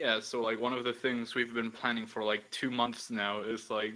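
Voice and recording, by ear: Speaking at a moderate pace, a man has a medium pitch, a bright, sharp tone and little pitch movement.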